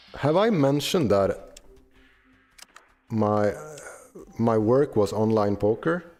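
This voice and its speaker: With music in the background, a man speaks very slowly at a medium pitch, with long, frequent pauses. His intonation is lively and his loudness very even. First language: not English. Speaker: gaming streamer. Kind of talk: casual gameplay commentary. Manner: halting, many fillers.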